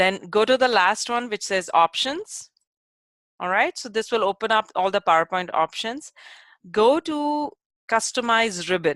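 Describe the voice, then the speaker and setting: Delivered at a fairly slow pace, this normal speaking voice has lively intonation. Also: woman, fairly high pitch for a woman. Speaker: instructional technology trainer. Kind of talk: tutorial. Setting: web-based workshop.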